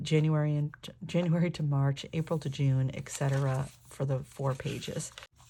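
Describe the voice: In a dark, mellow, croaky tone, the speaker talks fairly slowly with fairly even intonation. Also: woman.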